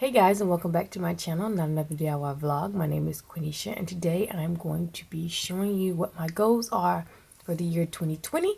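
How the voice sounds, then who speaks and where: This woman talks at a fairly quick pace with a fairly low pitch and ordinary pitch variation. Her tone is dark and mellow, and somewhat breathy. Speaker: lifestyle and planner vlogger. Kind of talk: casual vlog talk to camera.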